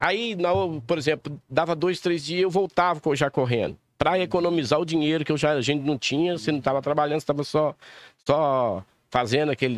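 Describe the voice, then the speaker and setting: A man with an unremarkable speaking voice, fairly high in pitch, at a fairly quick pace with ordinary pitch variation and a dry, close sound with no echo. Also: very even loudness. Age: 50s. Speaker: race promoter and businessman. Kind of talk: casual chat.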